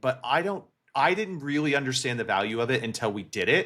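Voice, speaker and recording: A loud man's voice, bright and sharp in tone, at a fairly quick pace with very wide pitch swings, on a very clean recording with a silent background. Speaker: gaming podcast co-host. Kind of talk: casual chat.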